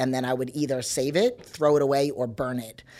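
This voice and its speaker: A woman with an American accent speaks fairly quickly in a very deep, low voice with a dark, mellow tone. Her intonation stays flat and monotone. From New York. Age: 40s. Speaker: personal trainer. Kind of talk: casual chat.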